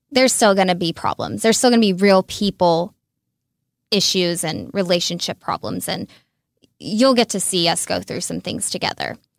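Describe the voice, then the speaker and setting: In a Texas accent, a woman speaks at a medium pitch with vocal fry, in a very clean, dry, close recording with a silent background and no echo. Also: ordinary pitch variation, moderate pace. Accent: Texas Southern. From Texas, Red Oak near Dallas. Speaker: reality TV contestant. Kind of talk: interview.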